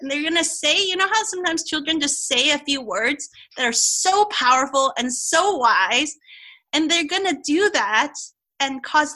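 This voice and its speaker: A woman's raised, projected voice, high in pitch, at a moderate pace with lively intonation. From Hong Kong. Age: 40s. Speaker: Chinese medicine doctor. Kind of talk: casual interview.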